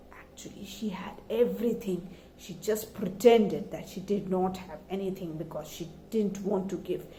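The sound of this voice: At a moderate pace, a woman speaks with a dark, mellow tone and ordinary pitch variation, with audible room echo. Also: medium pitch for a woman.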